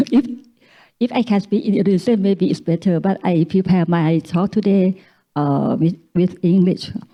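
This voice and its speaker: With very even loudness, a woman speaks in a Thai accent. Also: medium pitch for a woman, ordinary pitch variation, moderate pace. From Thailand. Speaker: academic speaker. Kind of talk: reading aloud; conference talk. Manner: halting.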